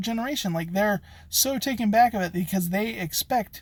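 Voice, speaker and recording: Ordinary pitch variation marks speech delivered at a fairly quick pace. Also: man. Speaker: locksmith and business owner. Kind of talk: vlog monologue. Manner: casual with many fillers.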